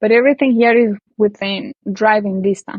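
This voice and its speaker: A woman speaks with a Colombian accent. Her pitch sits fairly high. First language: Spanish. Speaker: language teacher. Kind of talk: interview answer. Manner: casual, conversational.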